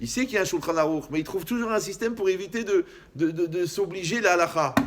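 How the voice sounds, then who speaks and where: A man's high-pitched, animated voice at a very fast pace, with ordinary pitch variation and noticeable background noise. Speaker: rabbi. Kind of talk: lecture.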